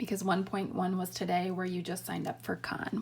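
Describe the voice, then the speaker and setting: A woman with a normal speaking voice at a moderate pace. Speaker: math teacher. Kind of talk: tutorial.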